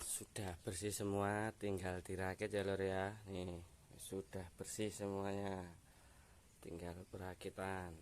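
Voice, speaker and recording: Very deep and low, a man's voice moves at a very slow pace in a flat monotone. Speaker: motorcycle mechanic vlogger. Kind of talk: tutorial. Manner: casual, halting.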